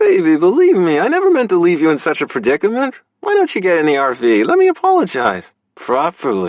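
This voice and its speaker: High-pitched put-on character voice from a man. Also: fairly quick pace. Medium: read story. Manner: smarmy, evasive.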